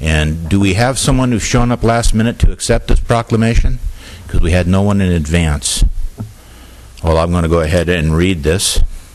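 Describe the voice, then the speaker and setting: Very deep and low in pitch, a man talks at a moderate pace over noticeable background noise. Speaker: vice mayor chairing council meeting. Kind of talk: formal council meeting chairing. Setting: council chamber with public address.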